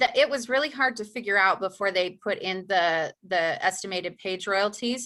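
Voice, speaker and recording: With a bright, sharp tone, a woman speaks at a fairly quick pace. Her pitch is medium, with ordinary variation. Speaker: course instructor. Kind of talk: live Q&A webinar. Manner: fast.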